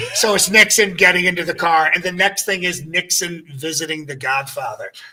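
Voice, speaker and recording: Speaking at a fairly quick pace in an American accent, the voice keeps a fairly even intonation over noticeable background noise. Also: man, high pitch for a man. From US, Pennsylvania (Ambler, Philadelphia area). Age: 60s. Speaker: impressionist. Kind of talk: casual interview chat.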